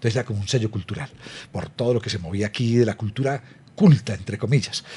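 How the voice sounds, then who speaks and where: Very fast in pace, a man speaks at medium pitch with ordinary pitch variation. His somewhat breathy voice has a dark, mellow tone. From Colombia, Medellín then Bogotá from age ten. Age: 60s. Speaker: podcast host, culture policy interviewer. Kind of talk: interview conversation. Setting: video podcast.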